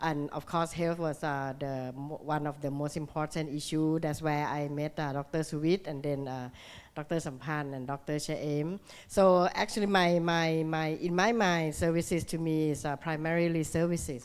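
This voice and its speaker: Over a silent background in a very clean recording, a woman speaks with a very deep, low pitch and fairly even intonation. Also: moderate pace. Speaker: ambassador. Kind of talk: conference panel talk. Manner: loud.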